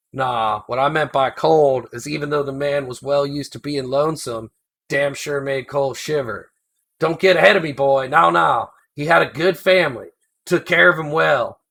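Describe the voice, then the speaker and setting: A man's put-on character voice, drawling, fairly high in pitch, with ordinary pitch variation at a moderate pace. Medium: read story. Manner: rambling, folksy drawl, chuckling.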